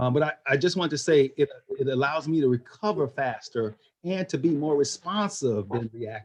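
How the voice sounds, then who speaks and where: A man with a fairly high pitch and lively intonation talks at a moderate pace, sounding somewhat breathy. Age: 60s. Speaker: meditation class participant. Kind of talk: casual sharing in group chat.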